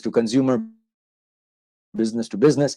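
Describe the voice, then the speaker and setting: A man with a South Asian accent speaks at a medium pitch, recorded with a dry, close sound and no echo. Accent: South Asian-sounding. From Manchester, England then Indian subcontinent. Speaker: marketing consultant. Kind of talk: interview on a live online show. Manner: conversational, with fillers.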